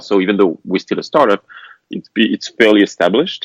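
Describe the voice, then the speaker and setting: With a French accent, a man talks at a fairly quick pace in a dry, close sound with no echo. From France. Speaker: tech startup founder. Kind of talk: podcast interview. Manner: halting, frequent fillers.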